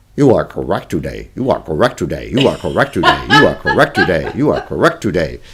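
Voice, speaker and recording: In a put-on character voice, a man talks very fast with a robotic sound. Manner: flat, repetitive.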